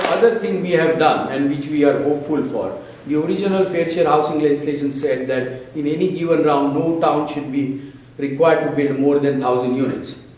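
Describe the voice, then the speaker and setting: Talking at a fairly quick pace, a man with a fairly high voice is heard with audible room echo and noticeable background noise. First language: not English. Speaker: local official. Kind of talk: town hall speech. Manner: animated.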